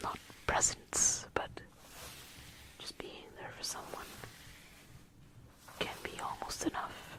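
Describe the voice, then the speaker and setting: Someone whispers in a relaxed tone at a very slow pace, with long, frequent pauses and noticeable background noise. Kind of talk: ASMR Christmas talk to camera. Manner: soft-spoken, relaxed.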